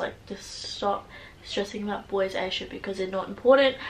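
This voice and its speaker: Noticeable background noise runs under a woman with an Australian accent. She speaks at a moderate pace with ordinary pitch variation. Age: 19. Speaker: vlogger. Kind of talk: casual chat. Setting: in a car. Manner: loud; animated.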